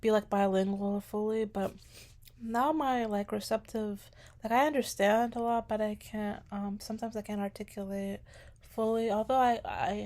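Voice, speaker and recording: A woman's fairly high voice with a slight non-native accent, fairly even intonation and a moderate pace. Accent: slight foreign accent in English. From US (immigrated from Sudan at young age). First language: Arabic. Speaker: aspiring special education teacher. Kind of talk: casual vlog monologue. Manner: hesitant, many fillers.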